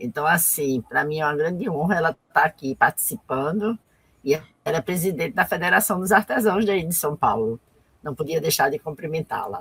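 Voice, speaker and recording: Using a plain, everyday voice, a woman with a fairly low pitch talks at a moderate pace with lively intonation, in a dry, close sound with no echo. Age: 60s. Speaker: artisan and cultural activist. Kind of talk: live interview. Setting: online live stream.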